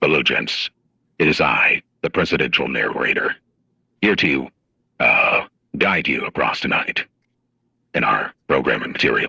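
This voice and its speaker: Putting on a raspy character voice, a man speaks at an extremely high pitch and a moderate pace, with long, frequent pauses. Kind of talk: polished announcer.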